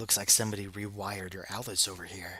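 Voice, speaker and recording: In a put-on character voice, a man sounds gruff at a fairly low pitch, racing at a very fast pace with a monotone, flat intonation. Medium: read story. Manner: gruff, offhand.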